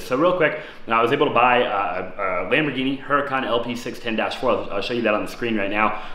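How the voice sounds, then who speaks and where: Speaking very fast, a man is heard amid noticeable background noise and audible room echo. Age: 20s. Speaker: real estate investor and YouTuber. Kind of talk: vlog-style monologue. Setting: in his apartment. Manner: fast, filler-heavy.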